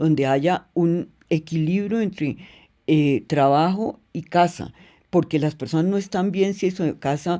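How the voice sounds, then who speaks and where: Speaking fairly slowly with ordinary pitch variation, a woman has a fairly low voice and an unremarkable speaking voice, on a very clean recording with a silent background. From Colombia. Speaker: business executive, company president. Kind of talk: interview answer.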